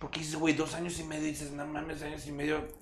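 A man's fairly high-pitched voice. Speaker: podcast co-host. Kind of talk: casual chat. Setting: live stream.

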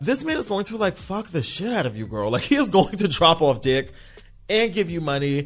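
Over noticeable background noise, a high-pitched man talks at a fairly quick pace in an animated tone, his pitch swinging very widely. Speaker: podcast host. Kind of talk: casual chat.

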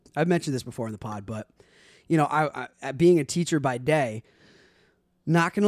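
A man talks with ordinary pitch variation. The sound is dry and close with no echo, in a very clean recording with a silent background. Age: 30s. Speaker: podcast host and math teacher. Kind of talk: casual chat. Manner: animated.

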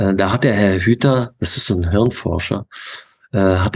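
There's ordinary pitch variation in this man's very deep, low voice. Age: 50s. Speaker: youth basketball coach. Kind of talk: interview.

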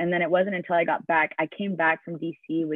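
Fairly even in intonation, an ordinary speaking voice moves along at a fairly quick speed. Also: woman. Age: 20s. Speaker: worship leader and intercessor. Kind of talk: testimony.

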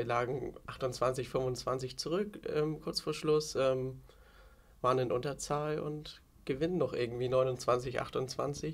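Somewhat breathy, a man talks at a very slow pace and medium pitch with fairly even intonation. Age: 20s. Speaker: handball player and youth coach. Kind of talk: casual interview. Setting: outdoors on a balcony.

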